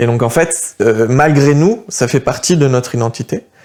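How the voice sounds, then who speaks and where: Noticeable background noise runs under a man's voice. He speaks with ordinary pitch variation. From France. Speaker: political youth activist. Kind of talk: interview. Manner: hesitant, many fillers.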